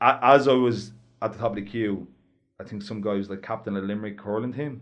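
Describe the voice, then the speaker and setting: A man talks at a fairly quick pace in a Dublin accent. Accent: north inner city Dublin. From Ireland, north inner city Dublin. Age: 20s. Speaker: heavyweight boxer. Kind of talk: casual chat.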